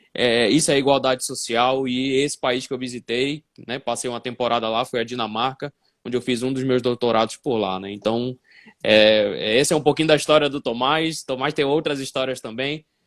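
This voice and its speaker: Recorded very cleanly against a silent background, with a dry, close sound and no echo, a man speaks at a moderate pace with fairly even intonation. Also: medium pitch for a man. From northern Brazil, Belém do Pará (Amazon region). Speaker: physics teacher and educational assessment specialist. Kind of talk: live-stream interview. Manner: hesitant fillers, frequent 'né'.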